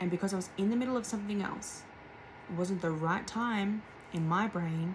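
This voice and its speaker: A woman at a moderate pace with ordinary pitch variation, over noticeable background noise. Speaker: tarot reader. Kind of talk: channeled tarot reading. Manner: soft-spoken; halting.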